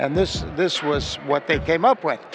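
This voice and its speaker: Noticeable background noise sits behind the speech. A man with an American accent talks at a moderate pace. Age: 60s. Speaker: business owner. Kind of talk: interview.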